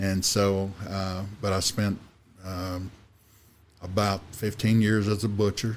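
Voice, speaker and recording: Speaking with a Kentucky accent, a man uses a fairly low pitch and monotone, flat intonation at a very slow pace, with long, frequent pauses. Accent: Kentucky Southern. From Kentucky, Washington County. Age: 60s. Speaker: insurance agent and turkey conservation volunteer. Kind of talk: casual interview chat. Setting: studio. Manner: halting, many fillers.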